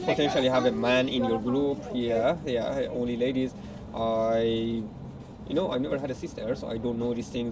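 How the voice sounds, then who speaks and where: Over noticeable background noise, a man speaks at a moderate pace. His pitch is medium, with ordinary pitch variation. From Iran, Tehran. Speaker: partner of the channel host. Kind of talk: casual chat. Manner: hesitant, many fillers.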